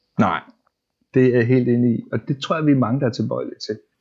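A man's voice with ordinary pitch variation. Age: 40s. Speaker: web developer. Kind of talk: casual interview. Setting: at home. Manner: halting, repeats words.

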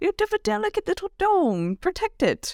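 At a moderate pace, a woman talks. Her put-on character voice is pitched extremely high. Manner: motherly, firm.

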